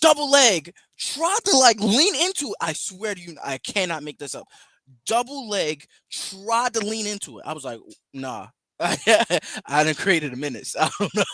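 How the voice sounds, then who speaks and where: A man speaks at a moderate pace in a raised, projected voice with a high pitch, an animated tone, very wide pitch swings and big swings in loudness. The sound is dry and close with no echo, on a very clean recording with a silent background. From northern US. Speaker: podcast co-host. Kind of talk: casual chat.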